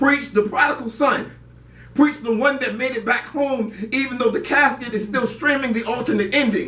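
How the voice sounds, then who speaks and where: Noticeable noise sits in the background. The talking proceeds at a moderate pace. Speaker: spoken word poet performing at an open mic. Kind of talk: spoken word poetry performance. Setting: live open mic venue with audience.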